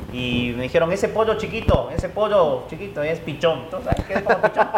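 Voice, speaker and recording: A man's high voice at a moderate pace amid noticeable background noise. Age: 30s. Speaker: football commentator. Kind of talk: casual chat. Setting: coffee shop.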